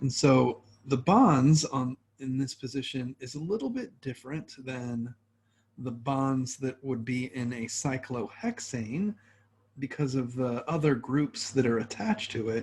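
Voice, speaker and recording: A man's somewhat breathy, medium-pitched voice at a fairly slow pace, with ordinary pitch variation. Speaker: chemistry professor. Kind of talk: lecture.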